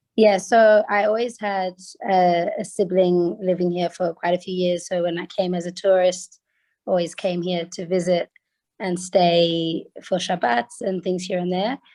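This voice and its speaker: At a fairly slow pace, a woman with an Australian accent speaks in a dark, mellow tone with fairly even intonation. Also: medium pitch for a woman. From Australia (Sydney). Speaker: resident describing her community. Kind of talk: video call discussion. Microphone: phone.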